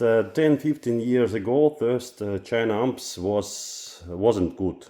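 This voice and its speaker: With a non-native accent, a man speaks at a very slow pace in a medium-pitched, dark, mellow voice. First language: Russian. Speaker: audio equipment reviewer. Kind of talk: product review vlog. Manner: halting, many filler sounds.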